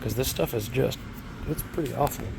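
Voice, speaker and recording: A man speaks against noticeable background noise. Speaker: car restoration youtuber. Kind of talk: casual video walkthrough. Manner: casual, hesitant with fillers.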